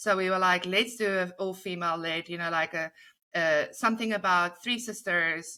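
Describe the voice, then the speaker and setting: A woman speaks with a South African accent at a moderate pace and a medium pitch. Her tone is bright and sharp, and the recording is very clean with a silent background. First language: Afrikaans. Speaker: comedy writer. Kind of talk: interview. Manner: animated.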